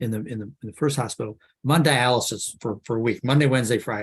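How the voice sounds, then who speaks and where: A man talks at a fairly quick pace in a medium pitch. His voice is somewhat breathy. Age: 60s. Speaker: cancer survivor. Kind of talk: testimony. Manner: halting, many repetitions.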